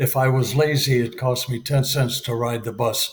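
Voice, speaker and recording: Speaking with an American accent, a man is somewhat breathy at a medium pitch. His pace is fairly slow and his intonation monotone and flat. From US Midwest, Detroit. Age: 80s+. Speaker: retired Marine aviator. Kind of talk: interview. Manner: halting, many fillers.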